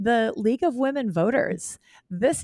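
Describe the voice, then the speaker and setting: A woman with an American accent in an animated, passionate tone, at a moderate pace with ordinary pitch variation and a dry, close sound with no echo. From Wisconsin, Green Bay area. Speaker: OB-GYN doctor. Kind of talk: interview.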